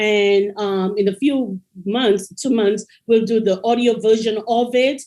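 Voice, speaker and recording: At a fairly slow pace, a woman's fairly high voice holds a dark, mellow tone, with fairly even intonation and very even loudness. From Caribbean. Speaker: educator and author. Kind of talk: interview.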